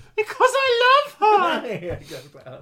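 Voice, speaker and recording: A put-on character voice comes through shrill and at an extremely high pitch. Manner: shrieking.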